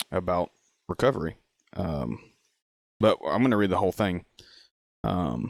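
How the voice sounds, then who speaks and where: The voice shows vocal fry and very wide pitch swings at a moderate pace with long, frequent pauses, in a dry, close sound with no echo. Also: man, very deep, low pitch for a man. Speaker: recovery podcast host. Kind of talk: reading aloud. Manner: halting.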